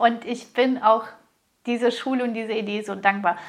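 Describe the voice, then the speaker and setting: A woman with a high pitch keeps a moderate pace, her intonation fairly even. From Russia. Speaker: business coach and podcast host. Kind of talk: solo podcast monologue.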